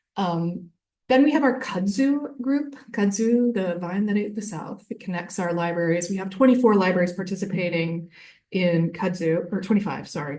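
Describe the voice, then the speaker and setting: A woman's medium-pitched voice, dark and mellow, with ordinary pitch variation. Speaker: library consortium staff presenter. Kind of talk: conference presentation. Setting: conference room with audience. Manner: fast.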